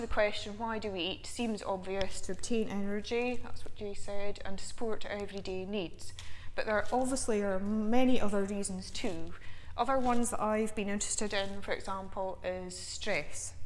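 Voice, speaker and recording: A woman speaks at a moderate pace. Audible room echo can be heard around her voice. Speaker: nutrition researcher. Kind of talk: lecture. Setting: seminar with live audience.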